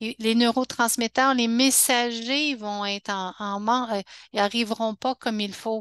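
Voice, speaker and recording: A woman speaks fairly slowly in a fairly high pitch with fairly even intonation. The sound is dry and close with no echo, over a quiet background. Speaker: health educator. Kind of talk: webinar talk. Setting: online webinar. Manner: halting, many restarts.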